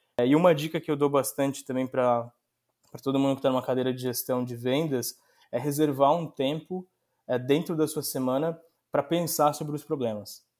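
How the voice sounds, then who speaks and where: Fairly even intonation marks a man's speech, delivered at a moderate speed. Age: 30s. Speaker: sales director. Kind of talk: interview.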